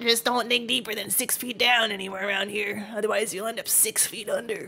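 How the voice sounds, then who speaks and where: A woman's put-on character voice, fairly high in pitch and fairly quick, over light background noise. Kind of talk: reading game dialogue aloud in a character voice.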